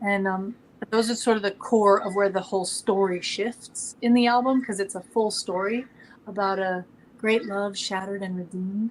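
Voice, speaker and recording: Recorded very cleanly against a silent background, a soft-spoken woman talks at a medium pitch and a moderate pace. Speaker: opera singer and songwriter. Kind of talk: interview. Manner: animated.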